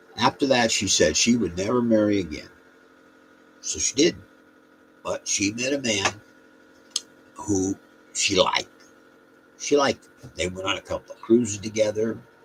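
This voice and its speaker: This man talks at a moderate pace and medium pitch with ordinary pitch variation, big swings in loudness, long, frequent pauses and noticeable background noise. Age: 70s. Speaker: storyteller vlogger. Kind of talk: casual storytelling monologue. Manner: rambling, halting.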